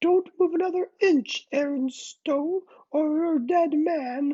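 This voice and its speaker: In a put-on character voice, a female-sounding speaker growls at a fairly slow pace with an extremely high pitch. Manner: growling, menacing.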